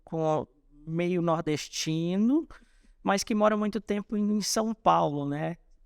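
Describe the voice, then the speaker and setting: The recording of this man is very clean with a silent background, dry and close with no echo, and his speech has ordinary pitch variation. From northern Minas Gerais, Brazil (Salinas), northeastern mother. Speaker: businessman, franchise company founder. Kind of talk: podcast interview. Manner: halting, with repetitions and fillers.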